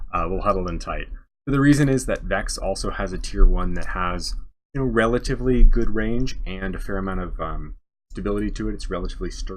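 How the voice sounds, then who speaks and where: Speech rushes at a very fast pace with big swings in loudness. Room echo is audible. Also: man. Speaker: game developer coaching a player. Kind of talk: tutorial. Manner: soft-spoken. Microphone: too quiet, moving closer to mic.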